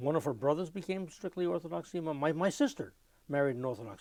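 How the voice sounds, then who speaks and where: With a New York accent, a man talks at a fairly quick pace in a fairly high pitch and lively intonation. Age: 70s. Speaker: klezmer musician. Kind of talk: oral history interview. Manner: repetitive, stuttering restarts.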